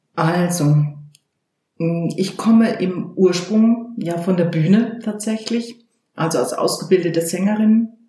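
A woman talks at a very slow pace, her medium pitch moving with ordinary variation. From Baden-Württemberg. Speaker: voice coach and leadership trainer. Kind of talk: interview. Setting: in her office. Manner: animated.

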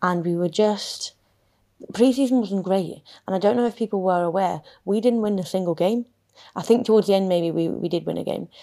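Speaking at a medium pitch with ordinary pitch variation, a woman keeps a fairly quick pace. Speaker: footballer and podcast host. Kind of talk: casual interview conversation.

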